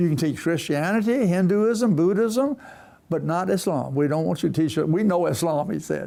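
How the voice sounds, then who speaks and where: Heard in a very clean recording with a silent background, a man with a high pitch and a dark, mellow tone talks at a moderate pace with lively intonation. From US South. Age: 80s+. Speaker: retired missionary and professor. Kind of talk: interview storytelling.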